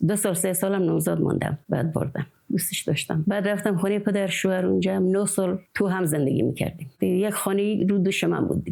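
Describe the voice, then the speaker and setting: A woman's very fast, nearly pauseless delivery at a medium pitch, with vocal fry, a dark, mellow tone, ordinary pitch variation and very even loudness. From rural Khorasan, Iran. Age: 60s. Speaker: village woman, dotar player. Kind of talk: interview testimony.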